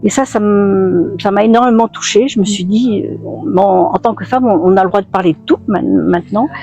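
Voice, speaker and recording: With music in the background, a woman of medium pitch speaks at a moderate pace, with ordinary pitch variation and hardly any pauses. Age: 70s. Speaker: retired feminist activist. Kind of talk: testimony. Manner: halting, many hesitations.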